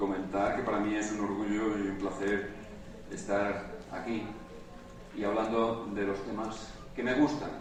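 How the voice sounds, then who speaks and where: Long, frequent pauses break up a man's fairly slow, fairly low-pitched speech with monotone, flat intonation. Audible room echo and noticeable background noise fill the recording. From Spain. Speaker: conference speaker, university lecturer. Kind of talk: conference talk.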